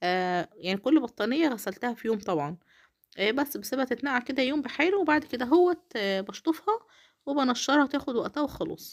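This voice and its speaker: The speaker is a woman with a high pitch that swings very widely. She keeps a moderate pace. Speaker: home vlogger, housewife and mother. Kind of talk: casual vlog narration.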